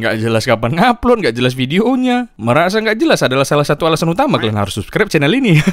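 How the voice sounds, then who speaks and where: Talking at a very fast pace, a man sounds animated, his pitch making very wide swings. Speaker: football content creator. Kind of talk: comedic football commentary vlog.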